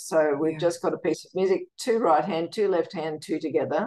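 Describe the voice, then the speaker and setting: A woman speaks in an Australian accent. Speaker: music educator and composer; guest. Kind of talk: interview. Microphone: video call.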